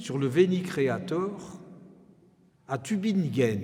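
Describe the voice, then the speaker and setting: There is audible room echo around a man's voice. He speaks at a fairly high pitch with lively intonation. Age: 80s+. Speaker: organist and retired professor. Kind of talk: concert introduction speech. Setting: church with audience. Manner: formal.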